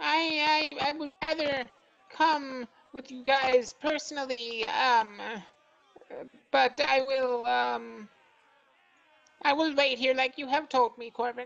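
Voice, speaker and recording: A man in a put-on character voice, extremely high in pitch, at a fairly slow pace with long, frequent pauses. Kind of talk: comic overacting. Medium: actual play. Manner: hesitant, stammering, overly eager.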